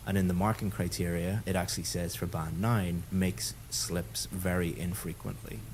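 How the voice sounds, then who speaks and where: Fairly quick male speech in a very deep, low pitch. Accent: Irish. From Ireland. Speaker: English teacher, IELTS examiner. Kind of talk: mock speaking test feedback.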